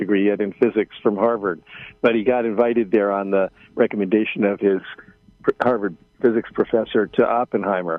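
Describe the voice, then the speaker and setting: A man with an American accent and fairly even intonation, music in the background. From United States. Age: 70s. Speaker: journalist. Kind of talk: radio interview. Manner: halting, many fillers.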